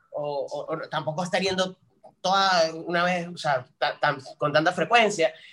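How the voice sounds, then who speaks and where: Fairly slow and full of long, frequent pauses, a man speaks in a bright, sharp tone at a high pitch with fairly even intonation. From Venezuela, San Cristóbal, Táchira (Andes). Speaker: social media content creator. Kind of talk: casual interview chat. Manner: halting, many repetitions and fillers.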